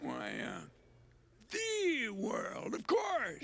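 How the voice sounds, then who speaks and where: Using a cartoonish character voice, a man speaks at an extremely high pitch with a raspy sound. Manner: folksy, hesitant.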